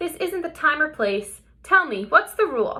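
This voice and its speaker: Putting on a squeaky character voice, a woman speaks at an extremely high pitch with very wide pitch swings and a moderate pace. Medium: read story. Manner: calm, teacherly.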